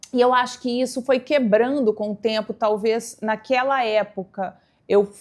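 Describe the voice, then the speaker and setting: The recording is very clean, with a silent background. A woman with fairly high pitch speaks at a fairly slow pace with fairly even intonation. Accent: mineiro. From Brazil, Minas Gerais (São Gotardo, interior). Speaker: fashion communicator, stylist. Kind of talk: interview, personal storytelling.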